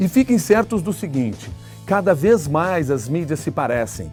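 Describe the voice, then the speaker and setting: A man's voice with very wide pitch swings at a moderate pace, over music in the background. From Brazil, Rio Grande do Sul. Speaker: radio journalist and news anchor. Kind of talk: interview answer. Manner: clear, fluent, radio-trained delivery.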